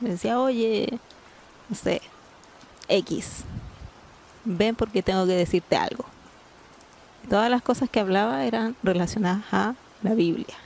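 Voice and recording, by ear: Speaking at a fairly slow pace with long, frequent pauses, a woman uses medium pitch, ordinary pitch variation, a slightly mellow tone and vocal fry.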